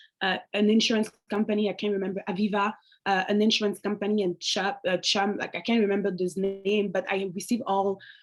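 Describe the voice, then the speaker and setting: Over a silent background in a very clean recording, a woman with a French accent speaks at a fairly quick pace in a monotone, flat intonation. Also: medium pitch for a woman. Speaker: alumni panelist. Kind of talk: panel discussion.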